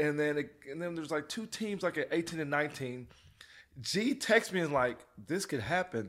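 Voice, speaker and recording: Recorded very cleanly against a silent background, a man with an American accent uses a normal speaking voice, fairly high pitch, lively intonation and a moderate pace. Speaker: father of an NFL player. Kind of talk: casual chat.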